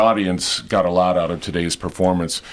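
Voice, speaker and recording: A man speaks over noticeable background noise. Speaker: on-camera host and voice-over talent. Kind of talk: TV news and interview host delivery.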